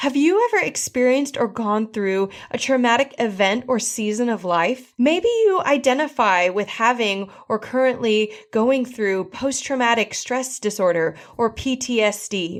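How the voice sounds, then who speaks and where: A woman with an unremarkable speaking voice talks at a fairly high pitch with lively intonation. She goes at a fairly slow pace with hardly any pauses, in a very clean recording with a silent background. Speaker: podcast host, gut health therapist. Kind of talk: podcast intro read.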